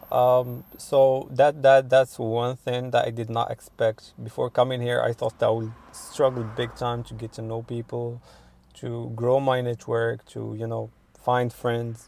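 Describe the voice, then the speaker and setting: The intonation is monotone and flat, at a fairly slow pace. Loudness swings widely. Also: man, medium pitch for a man. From Morocco. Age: 20s. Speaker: international student interviewee. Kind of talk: interview. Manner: hesitant, many fillers.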